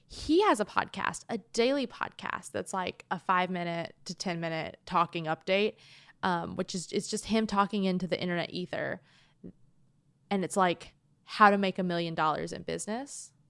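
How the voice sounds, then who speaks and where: Recorded very cleanly against a silent background, a woman talks at a moderate pace and medium pitch in an ordinary speaking voice. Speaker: podcast co-host. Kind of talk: casual banter between friends. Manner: joking, sarcastic, deadpan.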